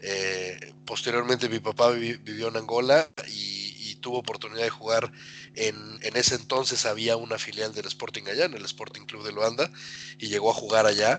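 Speaking at a moderate pace and medium pitch, a man keeps a fairly even intonation while his loudness swings widely, with noticeable background noise behind him. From Mexico (Atlixco, Puebla). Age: 40s. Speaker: football fan, podcast guest. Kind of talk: casual chat.

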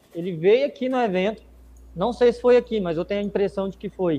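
A man speaks with ordinary pitch variation. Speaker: visual communication business owner. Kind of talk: casual chat.

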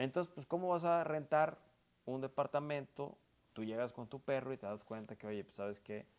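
With an unremarkable speaking voice, a man of medium pitch talks at a moderate pace, with ordinary pitch variation and big swings in loudness. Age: 30s. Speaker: politician. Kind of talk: interview. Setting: furniture store.

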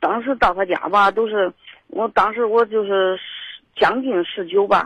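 Recorded dry and close with no echo, a woman speaks at medium pitch with ordinary pitch variation. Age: 40s. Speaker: caller. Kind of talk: casual chat. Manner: halting.

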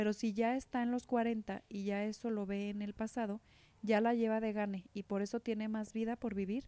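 On a very clean recording with a silent background and a dry, close sound with no echo, a woman speaks at a fairly high pitch in a dark, mellow tone with monotone, flat intonation. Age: 40s. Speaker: podcast co-host. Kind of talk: casual chat.

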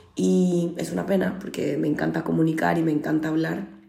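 Audible room echo and noticeable background noise accompany a woman talking at a moderate pace. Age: 30s. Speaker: podcast host. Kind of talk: personal monologue.

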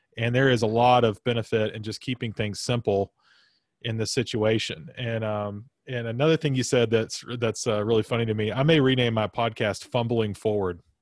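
A man's unremarkable speaking voice at a medium pitch, with an American accent, fairly even intonation and a moderate pace. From US South. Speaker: podcast host. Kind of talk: casual interview chat.

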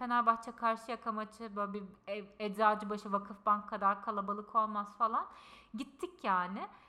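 Noticeable background noise accompanies a woman speaking at a moderate pace with a fairly high pitch. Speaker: podcast co-host. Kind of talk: casual chat. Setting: in-person shared microphone. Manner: loud, straining voice. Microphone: picks her up quieter than co-host.

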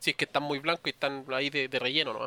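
A man with a Chilean accent speaks in a bright, sharp tone, the sound dry and close with no echo. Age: 20s. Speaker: podcast co-host. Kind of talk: casual chat.

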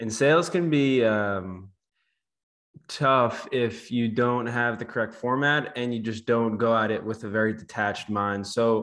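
Speaking fairly slowly, a man with an unremarkable speaking voice keeps a medium pitch and fairly even intonation. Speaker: podcast host. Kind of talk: casual interview chat.

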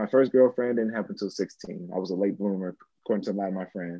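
Very fast in pace, a man talks with an American accent. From US Midwest. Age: 30s. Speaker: actor and spiritual seeker. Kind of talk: casual chat. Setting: video call. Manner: animated.

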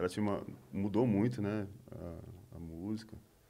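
The pace is fairly slow. A man talks with a fairly low pitch. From ABC Paulista, São Paulo, Brazil. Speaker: musician. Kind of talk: casual chat.

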